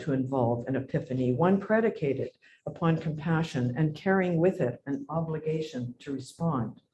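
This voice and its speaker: Somewhat breathy and fairly high, the man's voice has a dark, mellow tone. He speaks at a moderate pace. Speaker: academic lecturer. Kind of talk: lecture.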